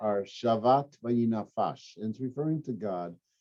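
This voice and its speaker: A normal speaking voice moves at a moderate speed, with ordinary pitch variation. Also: man. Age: 60s. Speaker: rabbi. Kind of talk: casual chat. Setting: podcast.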